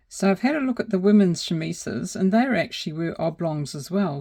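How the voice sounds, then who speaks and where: Her tone is dark and mellow, somewhat breathy. The woman speaks at a moderate pace with lively intonation. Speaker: miniaturist. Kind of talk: tutorial. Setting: home studio. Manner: soft-spoken; casual.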